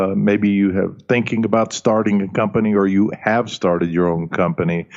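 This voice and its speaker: The man's speech moves along at a moderate speed. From US South, Alabama, German-speaking family. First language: German. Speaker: leadership coach and author. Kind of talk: interview. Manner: hesitant fillers.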